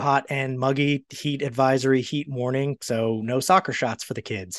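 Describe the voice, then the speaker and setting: This man has a normal speaking voice at medium pitch with an American accent, talking at a fairly slow pace with fairly even intonation, recorded dry and close with no echo against a quiet background. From Maryland, US. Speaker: podcast host, former reporter. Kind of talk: casual interview.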